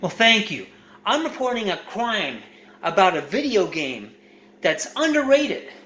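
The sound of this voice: A man speaks at a fairly slow pace, high in pitch with big swings. His tone is bright and sharp, and the room echo is audible.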